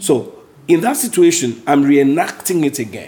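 Noticeable background noise runs beneath a man speaking at a fairly slow pace. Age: 50s. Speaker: Bible study leader. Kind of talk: Bible study teaching; prayer.

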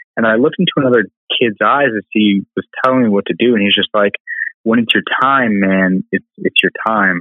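In an American accent, an ordinary speaking voice moves at a fairly quick pace with ordinary pitch variation and very even loudness. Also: man, medium pitch for a man. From US Southwest, Albuquerque, New Mexico. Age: 20s. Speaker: PhD student and biotech founder. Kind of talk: casual interview.

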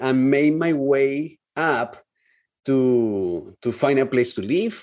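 With a Spanish accent, a man speaks in a dark, mellow tone at medium pitch, his intonation lively. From Colombia. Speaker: real estate investor. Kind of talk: interview.

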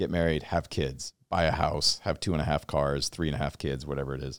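Vocal fry runs through this American-accented voice, which moves at a fairly quick pace in a very clean recording with a silent background and a dry, close sound with no echo. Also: man. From Washington State. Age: 40s. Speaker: podcast host. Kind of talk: casual interview chat.

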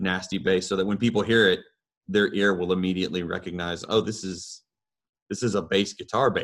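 A man with an ordinary speaking voice and a fairly low pitch talks at a fairly quick pace on a very clean recording with a silent background. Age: 30s. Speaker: metal band bassist and vocalist. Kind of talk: casual chat.

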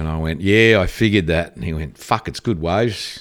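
A man is speaking. He has an Australian accent. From Australia (Victoria, Ballarat). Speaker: surfboard shaper, former pro surfer. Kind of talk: casual interview storytelling.

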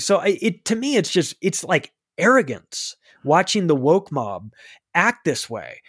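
Recorded very cleanly over a silent background with a dry, close sound and no echo, a man speaks with lively intonation. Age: 40s. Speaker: author and podcaster. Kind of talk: casual chat.

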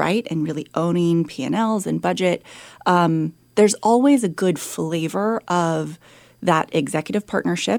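On a very clean recording with a silent background, a woman with an American accent speaks at a very slow pace, her fairly low pitch moving with lively intonation. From San Francisco, California. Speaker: chief of staff and former executive assistant. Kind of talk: interview conversation. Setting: studio.

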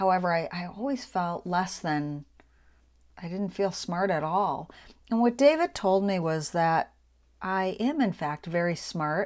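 Over a silent background in a very clean recording, a woman uses an ordinary speaking voice at a fairly slow pace, her medium pitch varying in an ordinary way. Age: 50s. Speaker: podcast host, business and social media coach. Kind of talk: solo monologue.

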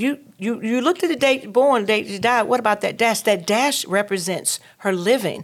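The speaker uses lively intonation and a Southern US accent. The pace is moderate with hardly any pauses. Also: woman, fairly high pitch for a woman. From North Carolina. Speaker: entrepreneur and talk show host. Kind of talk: interview. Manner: hesitant, many fillers.

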